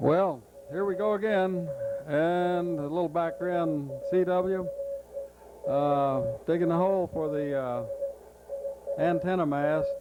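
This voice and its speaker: Over music in the background, a man with an American accent and a high pitch for a man talks very slowly, leaving long, frequent pauses. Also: ordinary pitch variation. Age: old. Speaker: amateur radio operator. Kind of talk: unrehearsed home film narration. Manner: casual, hesitant.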